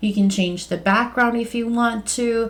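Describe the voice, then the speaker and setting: Somewhat breathy, a woman with a non-native accent speaks at a moderate pace. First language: not English. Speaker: online business coach. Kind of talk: tutorial; sales pitch. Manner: casual, with fillers.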